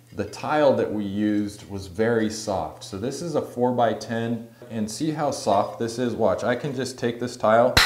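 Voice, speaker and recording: His pitch rises and falls in an ordinary way as this man talks. The room adds audible echo. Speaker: tile contractor. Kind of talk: explanatory vlog tutorial. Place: bathroom.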